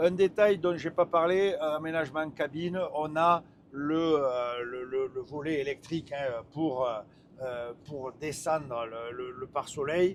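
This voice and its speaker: With a strong northern French accent, a man speaks slowly-ish at a fairly slow pace, using a fairly high pitch and ordinary pitch variation. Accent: strong northern French (ch'ti). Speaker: truck test driver and reviewer. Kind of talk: live driving review commentary. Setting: in a truck cab while driving. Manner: hesitant, many fillers and repetitions.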